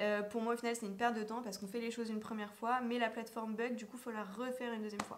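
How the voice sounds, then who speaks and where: Over noticeable background noise, a woman talks very fast at a fairly high pitch in a flat monotone. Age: 20s. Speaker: vlogger and business coach. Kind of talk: casual vlog talk to camera. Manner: hesitant, many fillers.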